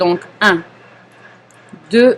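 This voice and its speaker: The intonation is lively. The pace is very slow. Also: woman. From Paris, France. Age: 40s. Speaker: knitting teacher. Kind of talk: live knitting class instruction. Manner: calm, patient.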